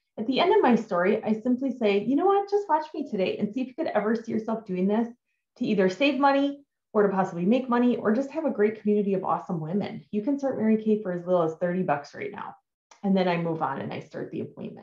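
The voice is somewhat breathy with a dark, mellow tone and a very fast pace. Room echo is audible. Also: woman. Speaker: direct sales team leader. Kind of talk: tutorial. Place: home room. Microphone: webcam.

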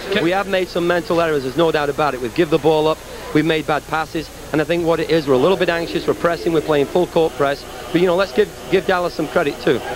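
Against noticeable background noise, a man talks very fast at a fairly high pitch with fairly even intonation, the sound dry with no echo. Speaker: soccer coach. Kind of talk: heated halftime interview. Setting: arena floor. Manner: agitated, repetitive. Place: stadium. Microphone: handheld.

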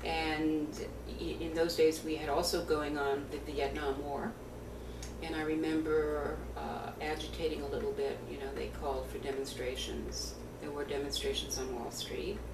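The pace is moderate. Background noise is noticeable. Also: woman. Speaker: attorney and trade-controls consultant. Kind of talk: oral history interview answer. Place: home room. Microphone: webcam.

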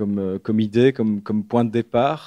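In a dry, close recording with no echo and a very clean, silent background, a man speaks at a moderate pace with a medium pitch and a dark, mellow tone. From Belgium, Liège area. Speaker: writer. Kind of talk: bookshop author talk. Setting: bookshop event with audience. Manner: halting, many repetitions.

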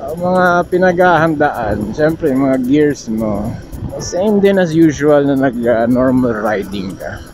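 Over music in the background, a man speaks with lively intonation in a dry sound with no echo. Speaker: motovlogger rider. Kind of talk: casual vlog chat. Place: motorbike. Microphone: helmet.

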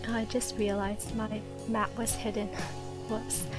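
Soft-spoken and relaxed in tone, the speaker moves at a fairly slow pace with music in the background. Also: woman. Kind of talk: soft-spoken gameplay tutorial narration. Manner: soft-spoken, relaxed.

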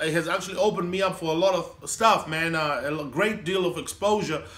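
A man's lively intonation carries his moderate-paced speech. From Zimbabwe, Harare (Mbare); Zimbabwe. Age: 30s. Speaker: comedian. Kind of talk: casual interview. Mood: upbeat, cheerful.

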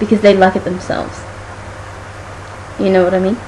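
Light background noise sits behind a woman speaking at medium pitch. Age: 20s. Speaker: vlogger. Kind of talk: casual talk to camera. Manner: casual, frank. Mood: defiant, somewhat annoyed. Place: home room. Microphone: webcam.

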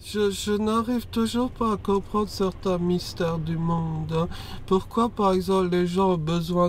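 The speaker is a man using fairly even intonation at a fairly slow pace. The sound is dry with no echo. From France. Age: 30s. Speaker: guest. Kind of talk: casual chat. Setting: in a car. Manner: unusual, atypical speech delivery. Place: car. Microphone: lapel.

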